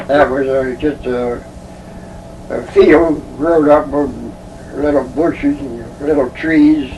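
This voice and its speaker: Amid noticeable background noise, a man with a fairly high voice speaks very slowly in a flat monotone, with long, frequent pauses. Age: 80s+. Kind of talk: interview answer. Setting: home recording.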